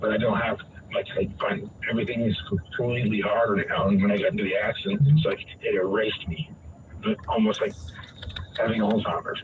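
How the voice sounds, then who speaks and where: A man speaks fairly quickly, with noticeable noise in the background. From New England, Vermont. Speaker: caller with brain injury. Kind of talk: casual conversation, personal story. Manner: halting, many fillers.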